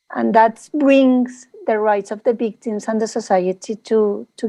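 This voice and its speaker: With a Spanish accent, a woman speaks at a fairly slow pace in a fairly high pitch, her dark, mellow tone and fairly even intonation caught in a dry, close sound with no echo against a quiet background. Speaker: panelist. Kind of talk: panel discussion. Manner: halting.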